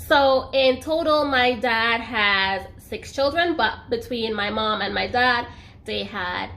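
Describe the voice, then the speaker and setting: Her voice is high-pitched with a bright, sharp tone and ordinary pitch variation. There is audible room echo around the woman. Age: 20s. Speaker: YouTuber. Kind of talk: personal story vlog. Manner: casual, chatty.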